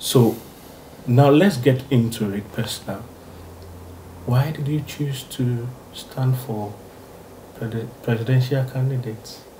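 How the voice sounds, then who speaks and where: A man's dark, mellow, somewhat breathy voice at a very slow pace, fairly even in intonation, broken by long, frequent pauses, over light background noise. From Ghana. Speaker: YouTube interviewer. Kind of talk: interview. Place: home room.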